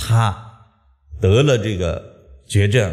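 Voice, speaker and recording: A man's voice carries audible room echo against a quiet background. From Shandong, China. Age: 50s. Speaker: lecturer on traditional Chinese metaphysics. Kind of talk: public lecture. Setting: lecture hall with live audience. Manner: animated. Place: classroom. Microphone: podium.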